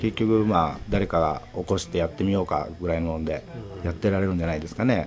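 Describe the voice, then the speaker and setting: The man races through his speech very fast while noticeable background noise carries on. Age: 30s. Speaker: shop manager. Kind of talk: interview. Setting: shop office.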